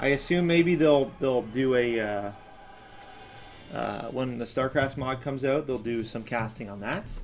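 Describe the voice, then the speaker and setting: Faint music plays in the background as the speaker talks at a fairly slow pace with ordinary pitch variation. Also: man. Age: 20s. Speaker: animator and channel owner. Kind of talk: live stream commentary while working. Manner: slurred, sounds drunk; hesitant with many fillers. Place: home room.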